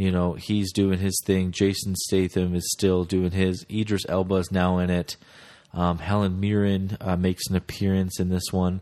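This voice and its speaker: With a Midwestern American accent, a man speaks in a very deep, low voice of dark, mellow tone, his intonation monotone and flat and his loudness very even. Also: moderate pace. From US Midwest (Omaha, Nebraska). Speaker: podcast host, movie reviewer. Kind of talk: solo casual podcast, movie reviews. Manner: hesitant, many filler words.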